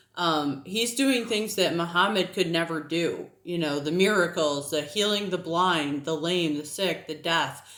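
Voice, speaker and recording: A woman with an American accent speaks at a fairly slow pace and a fairly low pitch, with ordinary pitch variation. Noticeable background noise is present. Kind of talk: casual vlog monologue. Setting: at home with a child on her lap. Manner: conversational, with many fillers.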